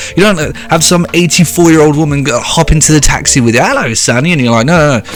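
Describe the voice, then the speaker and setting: A man with a British accent and a fairly high pitch talks at a very fast pace in an animated tone, with hardly any pauses, as music plays in the background. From Britain. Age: 20s. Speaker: YouTuber reacting to social media posts. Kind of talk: comedic reaction rant.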